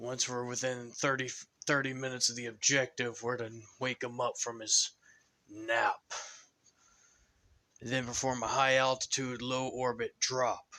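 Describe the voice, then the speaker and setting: In a put-on character voice with a weary tone, the speaker talks at a moderate pace using monotone, flat intonation and long, frequent pauses. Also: man, medium pitch for a man. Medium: read story. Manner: weary, sighing, grim.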